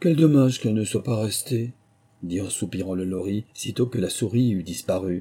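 Someone reads aloud plainly, and the pitch shifts in an ordinary way.

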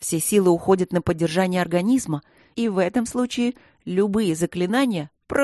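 A natural reading voice is heard. Its pitch moves in an ordinary way.

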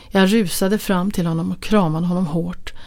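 The reading voice is unforced. Pitch variation stays ordinary.

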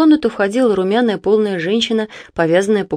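Text in a natural reading voice

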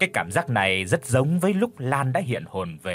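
An unforced reading voice is heard here.

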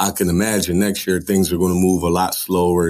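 A man with an American accent, a very deep, low pitch and a moderate pace. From Philadelphia. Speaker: college basketball head coach. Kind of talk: interview.

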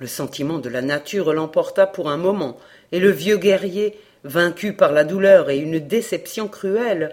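A natural voice reading aloud

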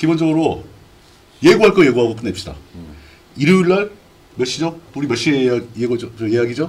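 Taking long, frequent pauses, a man at medium pitch makes very wide pitch swings and big swings in loudness. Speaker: live stream host. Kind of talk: casual live political talk show. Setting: live stream broadcast with chat.

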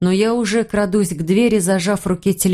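Fairly even intonation in a natural voice reading aloud

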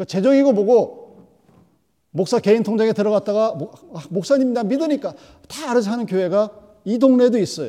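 A man's high-pitched, dark, mellow voice with ordinary pitch variation, a fairly quick pace and long, frequent pauses. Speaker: preacher. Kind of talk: sermon. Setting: church. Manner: animated, rhetorical, vivid; direct, exhorting the congregation.

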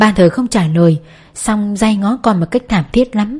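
The pitch varies in an ordinary way while the voice reads in an unforced manner.

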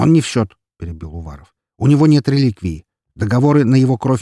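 Reading aloud in a natural voice with ordinary pitch variation over a quiet background

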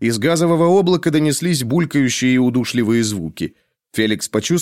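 The recording is quiet in the background. An unforced reading voice carries lively intonation.

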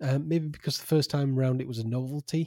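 In a very clean recording with a silent background and a dry, close sound with no echo, a man uses an ordinary speaking voice at a medium pitch and a moderate pace. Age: 40s. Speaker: podcast co-host. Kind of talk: casual chat.

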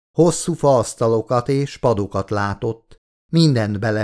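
In quiet surroundings, a natural reading voice moves with lively intonation.

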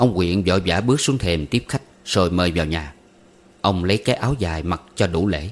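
This man talks with ordinary pitch variation, keeping a moderate pace.

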